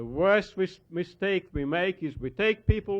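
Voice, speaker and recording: The speaker has a Hungarian accent. Pitch varies in an ordinary way. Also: man. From Hungary. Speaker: historian and author. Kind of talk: lecture.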